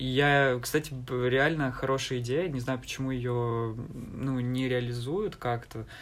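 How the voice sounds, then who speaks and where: A man of medium pitch at a very slow pace, with fairly even intonation and audible room echo. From eastern Ukraine, Donbas (Alchevsk). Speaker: university student. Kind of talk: casual interview.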